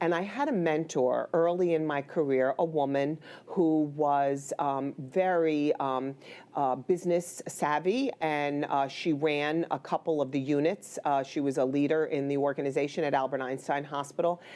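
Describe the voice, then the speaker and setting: The speaker uses a New York accent, a dark, mellow tone, fairly even intonation, very even loudness and a moderate pace. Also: woman, very deep, low pitch for a woman. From New York, the Bronx. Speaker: healthcare executive, former nurse. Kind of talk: interview.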